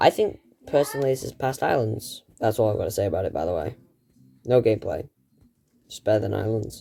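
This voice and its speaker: A quiet man talking at a very fast pace on a very clean recording with a silent background. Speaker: gaming YouTuber. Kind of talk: casual gaming commentary.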